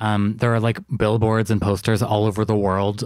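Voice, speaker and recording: A man speaks in a fairly low pitch. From Toronto, Canada. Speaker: podcast host. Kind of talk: casual chat. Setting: video call.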